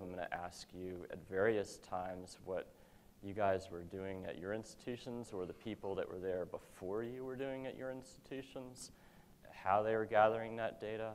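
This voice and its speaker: Speaking at a moderate pace, a man's fairly low voice keeps a fairly even intonation. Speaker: university AV services manager. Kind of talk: conference presentation. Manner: loud.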